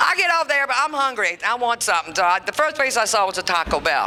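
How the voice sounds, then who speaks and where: Noticeable background noise accompanies a woman speaking in an animated tone. She talks at a fairly quick pace with very wide pitch swings. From Louisiana. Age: 60s. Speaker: comedian. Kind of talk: stand-up. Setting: stage with audience.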